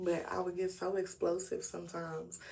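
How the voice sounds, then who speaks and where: A woman's medium-pitched voice, dark and mellow in tone, with audible room echo. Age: 30s. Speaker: YouTuber. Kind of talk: casual livestream talk. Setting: live stream.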